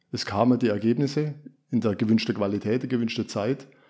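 A man at a medium pitch speaks at a fairly quick pace with a dark, mellow tone and ordinary pitch variation, on a very clean recording with a silent background. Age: 50s. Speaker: former classic project manager, agile practitioner. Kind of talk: podcast interview. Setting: studio. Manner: hesitant with fillers.

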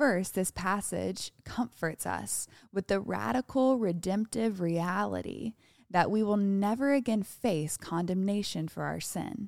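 A woman speaks at a fairly slow pace in a normal speaking voice, her pitch medium with ordinary variation. The recording is very clean and dry, close-sounding with no echo, over a silent background. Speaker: devotional co-host. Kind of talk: devotional reading and prayer.

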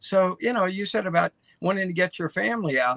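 A man's high, raised and projected voice with a bright, sharp tone and an American accent. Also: dry, close sound with no echo. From US, Baltimore. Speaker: co-host. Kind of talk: casual chat. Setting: video call.

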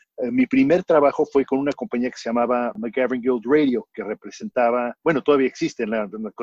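This man talks at a moderate pace and a medium pitch, with ordinary pitch variation. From Mexico. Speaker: marketing agency founder. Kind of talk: interview. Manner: animated.

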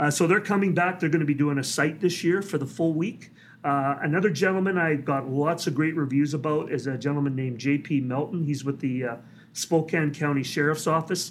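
Talking at a fairly quick pace with a Canadian accent, a man varies his pitch in an ordinary way amid audible room echo. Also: fairly high pitch for a man. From British Columbia, Canada. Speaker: police dog trainer. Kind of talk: interview. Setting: conference.

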